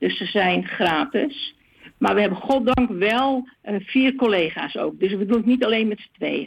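With vocal fry and a fairly high pitch, a woman speaks at a fairly slow pace and ordinary pitch variation. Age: 70s. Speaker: discussion group organizer. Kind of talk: interview. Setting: phone call.

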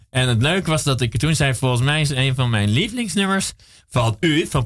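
With music playing behind him, a man speaks fairly quickly at a mid-range pitch. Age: 40s. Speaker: radio host. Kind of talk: casual chat. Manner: halting.

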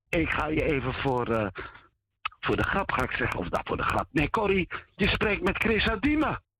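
A man speaks in a high pitch at a moderate pace, his tone animated and his pitch swinging very widely. His loudness stays very even, and the sound is dry and close with no echo. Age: older. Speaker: caller. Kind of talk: casual phone chat.

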